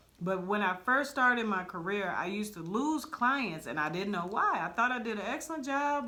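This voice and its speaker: A woman's fairly high voice, bright and sharp in tone, moves at a moderate pace with very wide pitch swings and audible room echo. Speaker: barber stylist podcast co-host. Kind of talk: casual chat.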